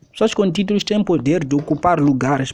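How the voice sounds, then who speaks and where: The man's pitch is fairly high, his pace moderate, and his pitch variation ordinary. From Mozambique. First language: Xangana (Tsonga) (speaking Portuguese). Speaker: preacher. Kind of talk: sermon.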